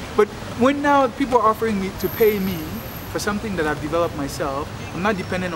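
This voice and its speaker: Over noticeable background noise, a man races along at a very fast pace with very wide pitch swings. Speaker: entrepreneur and coach. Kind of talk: personal video diary. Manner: halting, with many fillers and repeats.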